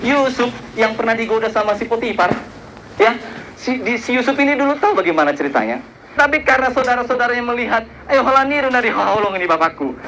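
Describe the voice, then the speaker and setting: A man with an extremely high pitch speaks at a very fast pace in a raised, projected voice, animated in tone with lively intonation, amid noticeable background noise and audible room echo. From Batak region, North Sumatra, Indonesia. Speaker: preacher. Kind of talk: sermon.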